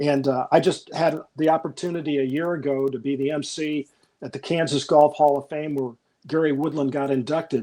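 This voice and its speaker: A man with an American accent, fairly high in pitch, at a fairly quick pace with fairly even intonation. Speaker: golf broadcaster. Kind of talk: interview. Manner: relaxed but passionate.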